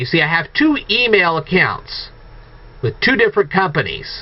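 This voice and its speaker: Noticeable background noise sits behind a man's high voice. His pitch swings very widely. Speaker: video blogger. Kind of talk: monologue rant to viewers. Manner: halting, self-correcting.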